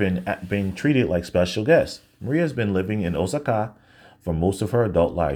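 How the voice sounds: Lively intonation paired with a natural reading voice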